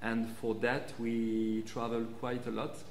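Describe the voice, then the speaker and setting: Very slow speech over light background noise, with audible room echo. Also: man. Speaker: guest. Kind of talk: interview answer. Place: studio.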